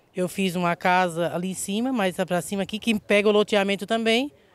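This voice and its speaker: A woman's medium-pitched voice with ordinary pitch variation, the sound dry with no echo. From southern Santa Catarina, Brazil. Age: 50s. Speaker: local resident. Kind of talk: interview testimony. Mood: indignant, worried. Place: open country. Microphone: handheld.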